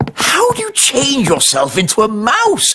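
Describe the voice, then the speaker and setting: A cartoonish character voice, fairly high in pitch, at a moderate pace. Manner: proper, slightly pompous.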